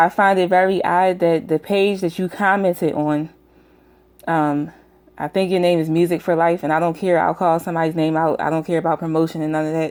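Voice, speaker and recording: A woman speaks at a fairly quick clip with a US Northeastern accent. Her fairly low voice stays monotone and flat. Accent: US Northeast. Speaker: YouTube commentator. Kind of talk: casual vlog rant. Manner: frequent fillers (um).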